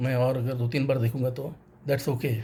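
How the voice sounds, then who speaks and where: Somewhat breathy, a man with a dark, mellow tone speaks at a moderate pace and a medium pitch. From North India, Varanasi. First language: Tamil (speaking Hindi). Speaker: banker sharing a film review. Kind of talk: personal vlog monologue.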